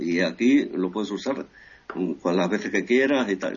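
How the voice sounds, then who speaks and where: At a fairly slow pace, a man talks in an ordinary speaking voice with ordinary pitch variation. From Equatorial Guinea, born in Ferrol, Spain. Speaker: journalist. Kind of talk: interview.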